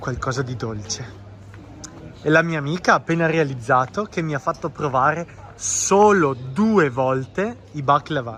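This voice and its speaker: A man with a fairly high voice. His intonation is lively. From Italy. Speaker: Italian teacher, vlogger. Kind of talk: travel vlog narration and street interview.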